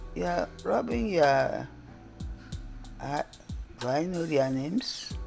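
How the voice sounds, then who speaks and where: Music plays in the background. A woman with a Nigerian accent speaks at a very slow pace. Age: old. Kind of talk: casual unscripted commentary.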